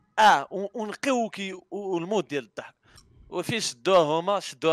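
A man is recorded against a quiet background with a dry sound and no echo. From Morocco. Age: 20s. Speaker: YouTuber and streamer; YouTuber, streamer. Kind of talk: casual interview. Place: home room. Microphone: headset.

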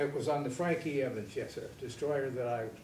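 Room echo is audible as a man speaks at a medium pitch and moderate pace. His pitch variation is ordinary, with light background noise. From Michigan, USA. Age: 80s+. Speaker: Navy veteran, former college president. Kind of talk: interview answer. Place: studio.

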